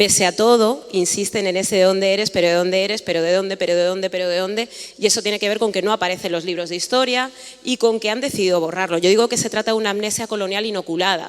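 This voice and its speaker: Speaking at a very fast pace with a Madrid accent, a woman keeps a medium pitch and ordinary pitch variation over noticeable background noise. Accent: Madrid-area Spanish (Alcorcón). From Spain, Alcorcón (Madrid region). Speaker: panelist, writer on race. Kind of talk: panel talk.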